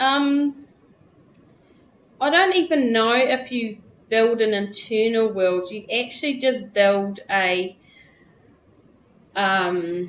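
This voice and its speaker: Pausing long and often, a woman with a New Zealand accent speaks very slowly at a fairly high pitch with lively intonation. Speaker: former cult member and teacher. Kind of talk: interview.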